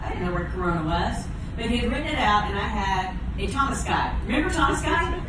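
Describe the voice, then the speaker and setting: A woman talks at a very fast pace. Noticeable background noise and strong room echo are present. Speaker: storyteller on a cruise event. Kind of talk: personal storytelling to an audience. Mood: warm, emotional reminiscing. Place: stage.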